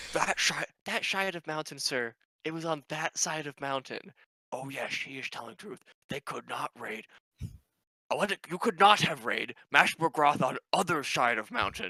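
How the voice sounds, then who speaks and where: Putting on a character voice, a man speaks at a fairly high pitch with lively intonation and big swings in loudness. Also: moderate pace. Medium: actual play. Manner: broken halting English, dropped articles.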